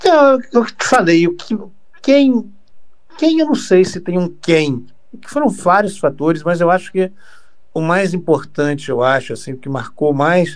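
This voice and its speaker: Using very wide pitch swings, a man speaks at a high pitch and a fairly slow pace. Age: 60s. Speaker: radio broadcaster. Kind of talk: interview. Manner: halting, with frequent repetitions.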